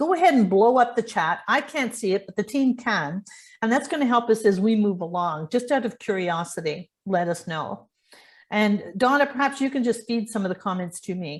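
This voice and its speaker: Somewhat breathy and fairly high-pitched, a woman with a Canadian accent speaks at a moderate pace with lively intonation over a quiet background. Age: 70s. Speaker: online event host, entrepreneur. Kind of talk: live webinar presentation. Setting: video call.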